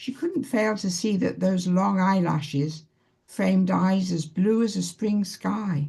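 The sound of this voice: An unforced reading voice carries the recording.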